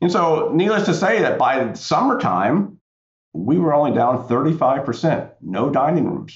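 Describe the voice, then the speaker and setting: A man with an American accent speaks at a fairly slow pace, his voice showing vocal fry and very wide pitch swings. His loudness stays very even, with audible room echo. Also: fairly high pitch for a man. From US South, central North Carolina. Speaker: tech executive, military veteran. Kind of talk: interview.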